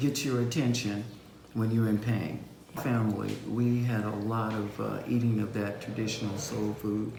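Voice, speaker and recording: The voice is fairly slow and monotone, flat in intonation, with audible room echo and noticeable background noise. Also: man. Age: old. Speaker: vegan cookbook author. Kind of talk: panel discussion.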